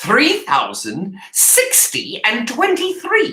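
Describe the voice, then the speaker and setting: A put-on character voice at an extremely high pitch and a very slow pace. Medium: read story. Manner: cold, dismissive.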